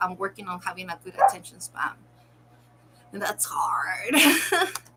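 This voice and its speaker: A woman talks at a very slow pace. Background noise is noticeable. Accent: non-native. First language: not English. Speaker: content creator reacting to videos. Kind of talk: casual commentary while crafting. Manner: halting.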